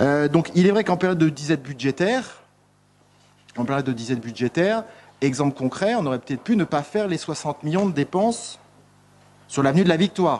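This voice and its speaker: A man's fairly high voice at a fairly quick pace, with lively intonation and long, frequent pauses. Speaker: municipal councillor. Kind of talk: council debate. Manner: fast; halting, many hesitations.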